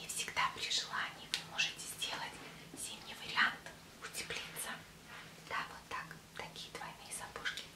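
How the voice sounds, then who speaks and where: A woman whispering, soft-spoken, at a fairly slow pace with long, frequent pauses. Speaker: fashion vlogger. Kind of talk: product show vlog chat. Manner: soft ASMR whisper, shop roleplay. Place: home room. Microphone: webcam.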